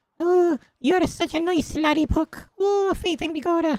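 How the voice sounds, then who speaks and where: In a put-on character voice with an Irish accent, the speaker squeaks along at a moderate pace in an extremely high pitch. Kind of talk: warm, lilting.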